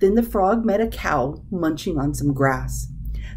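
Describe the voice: Simple, plain reading aloud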